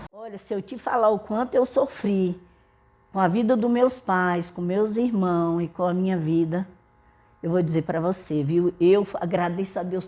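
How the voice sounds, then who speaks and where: A woman's voice sits at a medium pitch with a dark, mellow tone. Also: ordinary pitch variation, moderate pace. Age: 70s. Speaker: elderly community centre member. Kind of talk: documentary interview testimony.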